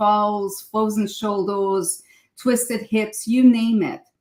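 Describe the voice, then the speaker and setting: This woman talks very slowly in a fairly high, somewhat breathy voice. Her pitch varies in an ordinary way. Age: 60s. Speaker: psychotherapist and qigong teacher. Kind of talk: interview. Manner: halting, repeats words.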